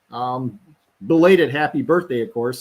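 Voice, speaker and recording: A man speaks in an ordinary speaking voice at a moderate pace, fairly high in pitch with ordinary pitch variation. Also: very clean recording, silent background. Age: 50s. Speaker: live stream host. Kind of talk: casual live commentary. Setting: recorded stream, not live.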